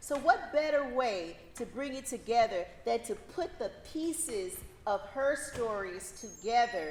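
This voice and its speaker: A woman in a Louisiana accent, fairly high-pitched with lively intonation at a fairly slow pace, over noticeable background noise. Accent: Southern US, Louisiana. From US South, northern Louisiana (Shreveport). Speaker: law professor. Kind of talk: conference talk. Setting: in person event with audience.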